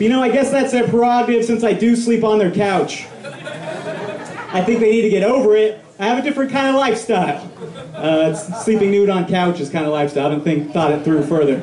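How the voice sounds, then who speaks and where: Against noticeable background noise and audible room echo, a man with an American accent speaks high for a man, fairly quickly and with hardly any pauses, his intonation lively. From Colorado (Pueblo). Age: 20s. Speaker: stand-up comedian. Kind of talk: stand-up. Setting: stage with audience. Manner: halting, many fillers.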